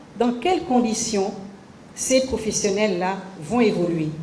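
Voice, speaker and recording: A woman's pitch leaps very widely as noticeable background noise carries on around her. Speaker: government minister of the civil service. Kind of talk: official interview answer.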